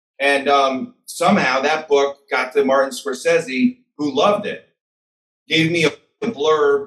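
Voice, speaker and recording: Against a quiet background, a man with an American accent and a normal speaking voice talks fairly slowly at a fairly high pitch with lively intonation. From US Midwest, Chicago. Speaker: author; podcast guest. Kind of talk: interview. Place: home room. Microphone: webcam.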